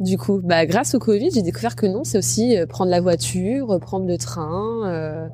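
Against noticeable background noise, a woman with a fairly low pitch swings it very widely and speaks with hardly any pauses. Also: fairly slow pace. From Normandy, France (Rouen). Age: 30s. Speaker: travel and food content creator. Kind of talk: interview.

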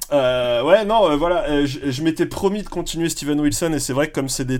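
An ordinary speaking voice from a man, fairly high in pitch, at a fairly quick pace with lively intonation. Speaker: podcast panelist. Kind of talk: casual chat.

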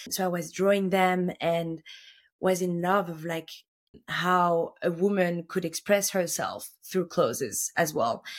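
Here is a woman in a normal speaking voice, fairly low in pitch, at a fairly slow pace. Her intonation is fairly even, and the recording is very clean with a silent background. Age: 30s. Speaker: fashion buyer. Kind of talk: interview.

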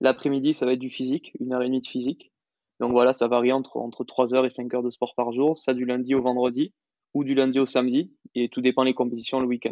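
A man at a medium pitch speaks fairly quickly in a monotone, flat intonation. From France, Toulouse. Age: 20s. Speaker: professional padel player. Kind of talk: interview. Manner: halting.

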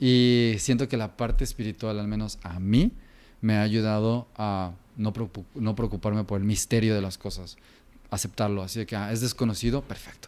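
A man with a fairly low voice speaks at a moderate pace with fairly even intonation. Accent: Jalisco. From Mexico, Guadalajara (Jalisco). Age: 30s. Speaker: designer and kombucha entrepreneur. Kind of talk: interview conversation.

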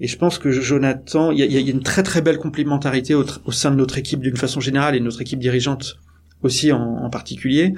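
A man talks at a very fast pace in a medium pitch, his intonation fairly even. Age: 40s. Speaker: startup executive. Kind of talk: interview. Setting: company offices. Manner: hesitant with many fillers.

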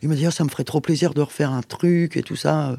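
A woman's very deep, low pitch and dark, mellow tone at a very fast pace, on a very clean recording with a silent background. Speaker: musician and recording studio co-manager. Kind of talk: interview conversation. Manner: animated.

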